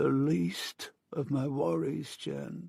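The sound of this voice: A man uses a put-on character voice at a medium pitch. His voice sounds croaky.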